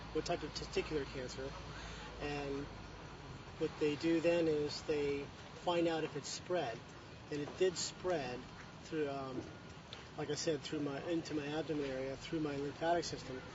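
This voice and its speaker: Pausing long and often at a moderate pace, a man with a fairly high pitch speaks with monotone, flat intonation over noticeable background noise. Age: 30s. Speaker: cancer survivor and amateur athlete. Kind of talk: interview. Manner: halting.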